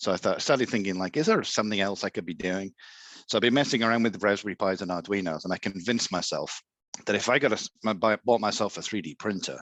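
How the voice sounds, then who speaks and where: This man speaks at a very fast pace with a fairly low pitch. The sound is dry and close with no echo, over a quiet background. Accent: English. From England. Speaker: Etsy seller, 3D printing hobbyist. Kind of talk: casual interview.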